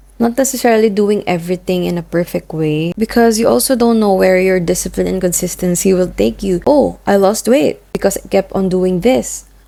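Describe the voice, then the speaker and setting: A woman in a Filipino accent, with hardly any pauses. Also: medium pitch for a woman, lively intonation, fairly quick pace. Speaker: vlogger. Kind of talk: personal vlog monologue.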